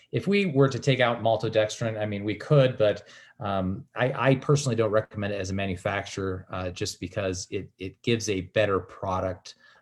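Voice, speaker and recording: This man talks at a fairly quick pace with hardly any pauses. His fairly low voice is somewhat breathy. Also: ordinary pitch variation, quiet background. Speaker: product manufacturer. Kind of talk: virtual meeting Q&A. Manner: halting, stuttering.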